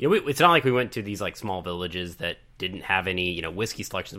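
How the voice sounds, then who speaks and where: This is a man speaking. His voice is fairly low in pitch. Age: 30s. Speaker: podcast co-host. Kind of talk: casual chat.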